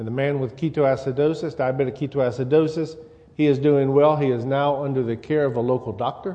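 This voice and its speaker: The speaker has a slight Louisiana accent. The pace is fairly quick. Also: man, fairly high pitch for a man, fairly even intonation. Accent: slight Louisiana-style Gulf Coast Southern. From US South. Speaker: church elder and lay preacher. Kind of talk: sermon. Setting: church.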